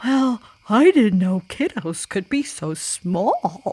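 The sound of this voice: Intonation rises and falls in a lively way. The reading voice is unforced.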